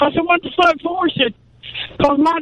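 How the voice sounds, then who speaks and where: Through noticeable background noise, a man speaks at an extremely high pitch. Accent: American. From US South. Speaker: caller. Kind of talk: casual chat.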